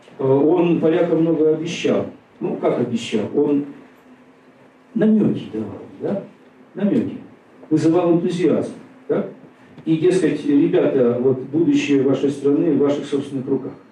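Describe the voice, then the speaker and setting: A man speaks at a fairly slow pace, his pitch fairly high with ordinary variation. Long, frequent pauses break his speech over noticeable background noise. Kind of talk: lecture. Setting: stage with audience. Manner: conversational, many fillers.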